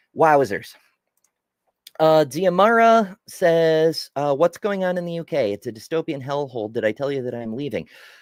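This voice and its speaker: A man with a fairly high pitch talks at a moderate pace with lively intonation, on a very clean recording with a silent background and a dry, close sound with no echo. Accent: American. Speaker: live-stream news commentator. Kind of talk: live stream commentary reading news and chat. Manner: casual, animated.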